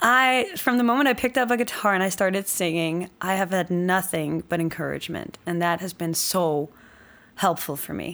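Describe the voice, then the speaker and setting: A woman speaks at medium pitch and a moderate pace, with a Danish accent. Her pitch varies in an ordinary way, and the recording is very clean with a silent background. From Denmark. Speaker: country singer-songwriter. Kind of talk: casual interview. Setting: studio.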